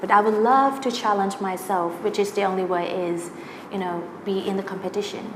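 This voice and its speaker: A woman speaks with fairly even intonation. Audible room echo and noticeable background noise surround her voice. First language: Thai. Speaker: singer and singing teacher. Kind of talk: interview. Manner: halting, many fillers.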